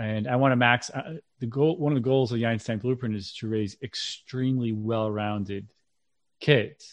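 A man talks at a moderate pace in a plain, everyday voice, medium in pitch with ordinary pitch variation, against a quiet background. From central Massachusetts, Worcester. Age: 40s. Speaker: parenting coach and author. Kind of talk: interview.

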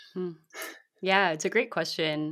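A woman's voice with a bright, sharp tone and fairly even intonation. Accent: Californian. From US West Coast (San Francisco Bay Area, South Bay). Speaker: community building consultant and author. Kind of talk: interview.

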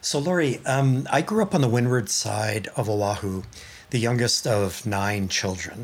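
A man speaks at a fairly slow pace in a medium pitch. He has an unremarkable speaking voice with ordinary pitch variation. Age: 60s. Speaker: podcast host. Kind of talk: interview, scripted intro.

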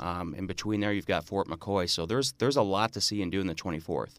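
With an Upper Midwest accent, a man speaks at a very fast pace. His pitch is fairly low and his intonation fairly even. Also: very clean recording, silent background. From northern Wisconsin (Marinette). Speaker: state senator. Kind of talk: radio interview. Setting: radio studio.

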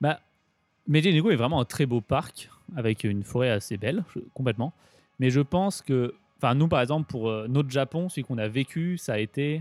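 This man has an ordinary speaking voice at a medium pitch, with lively intonation and a moderate pace, in a dry, close sound with no echo. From Grenoble, France. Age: 20s. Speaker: cycle traveller. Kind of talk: interview.

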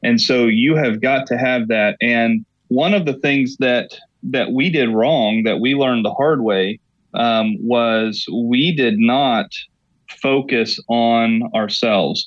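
Speaking with an American accent, a man talks at a very slow pace in a medium pitch. His pitch varies in an ordinary way while his loudness stays very even. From Oklahoma. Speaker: pastor. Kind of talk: interview.

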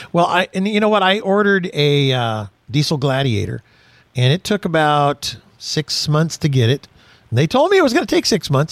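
With a plain, everyday voice, a man speaks at a fairly quick pace and fairly high pitch, his intonation lively and the sound dry and close with no echo. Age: 60s. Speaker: automotive radio host. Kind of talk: casual chat.

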